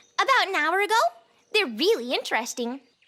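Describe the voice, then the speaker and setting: A squeaky, female-sounding character voice is put on at an extremely high pitch. It races at a very fast pace with very wide pitch swings. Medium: audio drama.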